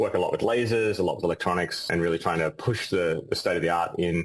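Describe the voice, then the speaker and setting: Very fast and in an Australian accent, a man speaks with a very deep, low voice and ordinary pitch variation. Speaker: physicist and company CEO. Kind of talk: interview.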